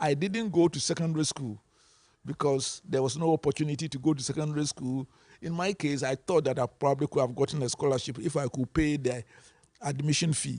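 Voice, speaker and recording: Against a quiet background, a man talks at a fairly quick pace in a fairly high pitch, somewhat breathy, with ordinary pitch variation and a dry, close sound with no echo. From Ghana. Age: 70s. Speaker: panelist in policy dialogue. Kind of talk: panel discussion.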